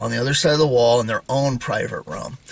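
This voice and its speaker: A man with an American accent talks very fast at a medium pitch. His intonation stays fairly even over noticeable background noise. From North Idaho. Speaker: religious YouTuber. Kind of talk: casual monologue. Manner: many fillers.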